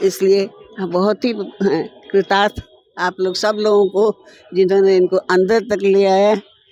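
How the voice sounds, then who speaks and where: A woman at medium pitch talks in a monotone, flat way, the sound dry and close with no echo. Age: 80s+. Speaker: elderly devotee. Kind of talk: interview.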